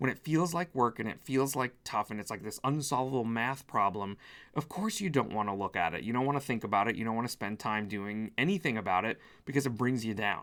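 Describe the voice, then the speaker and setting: A man with a medium pitch sounds animated and speaks at a fairly quick pace. His pitch varies in an ordinary way on a very clean recording with a silent background. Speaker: spiritual business coach. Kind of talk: motivational talk to camera. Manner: fast.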